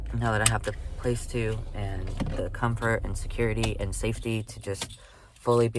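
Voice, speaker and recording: A man speaks in a monotone, flat intonation. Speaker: vlogger. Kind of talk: personal video diary. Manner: halting, many fillers and repeats.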